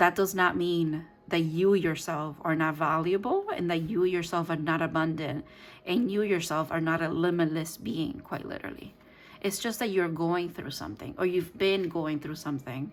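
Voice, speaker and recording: A Spanish accent at a moderate pace with ordinary pitch variation. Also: woman, fairly low pitch for a woman. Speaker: tarot reader. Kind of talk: tarot reading. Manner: halting.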